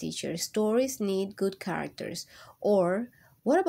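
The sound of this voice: The reading here comes in an unforced reading voice.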